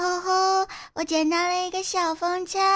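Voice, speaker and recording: A woman puts on a squeaky character voice at an extremely high pitch. She keeps a moderate pace and a monotone, flat intonation. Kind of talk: aegyo-like high-pitched cute voice. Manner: cutesy, sweet.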